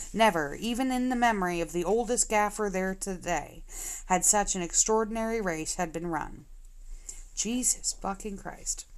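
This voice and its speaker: In a very clean recording with a silent background, a woman speaks at a moderate pace and medium pitch with ordinary pitch variation. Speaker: audiobook narrator. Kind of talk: reading aloud. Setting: live stream. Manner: occasional slips and self-corrections.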